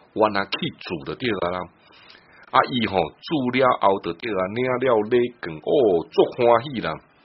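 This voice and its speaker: A man's medium-pitched voice, fairly slow, with lively intonation, long, frequent pauses and noticeable background noise. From Taiwan. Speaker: radio host. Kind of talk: radio talk show chat.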